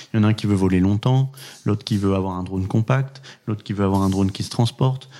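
Over a silent background in a very clean recording, a man with a dark, mellow tone talks at a fairly quick pace with ordinary pitch variation. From France, moved around (born Pau, studied Lyon). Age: 30s. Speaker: drone company founder. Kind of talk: interview. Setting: at the guest's home.

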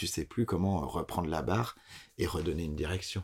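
In a very clean recording with a silent background, a man with a very deep, low voice talks at a fairly quick pace with ordinary pitch variation. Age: 30s. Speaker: theatre director. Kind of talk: interview. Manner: halting.

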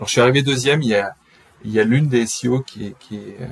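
Noticeable background noise runs under a man's voice. He has a medium pitch, fairly even intonation and a moderate pace. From France, raised partly in Brittany. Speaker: SEO agency co-founder. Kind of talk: interview.

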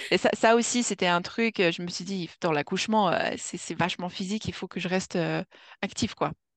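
In a dry, close sound with no echo and a quiet background, a woman speaks at a medium pitch and a moderate pace with ordinary pitch variation. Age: 30s. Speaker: mother sharing birth story. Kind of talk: testimony. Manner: halting.

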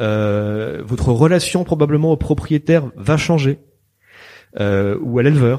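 Fairly slow delivery with lively intonation and a dark, mellow tone. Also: man. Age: 50s. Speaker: veterinarian and member of parliament. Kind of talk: interview. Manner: halting.

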